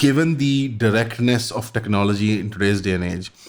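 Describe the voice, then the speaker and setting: Speaking with a non-native accent, the voice shows ordinary pitch variation. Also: man. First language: not English. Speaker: podcast host. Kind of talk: interview question. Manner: fast.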